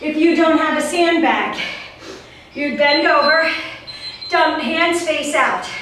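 A woman with a high pitch speaks at a very slow pace, and the room echo is audible. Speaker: fitness instructor. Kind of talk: workout instruction. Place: home room. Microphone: camera far.

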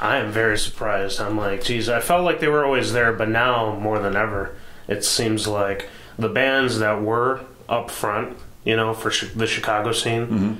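Moderately paced speech from a man, with fairly even intonation, very even loudness and audible room echo. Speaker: show host. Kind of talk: casual interview chat. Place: studio. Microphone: camera far.

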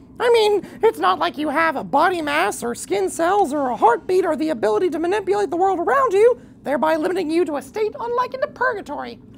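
The voice is extremely high in pitch and moves at a moderate pace. Background noise is clearly audible. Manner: blunt, loud, childish enthusiasm.

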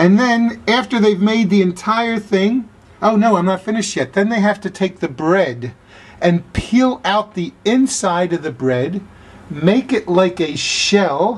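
With lively intonation, a man speaks at a high pitch and a fairly slow pace. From Philadelphia suburbs. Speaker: blues musician. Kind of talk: casual food review to camera. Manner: enthusiastic, upbeat. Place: home room. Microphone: phone near.

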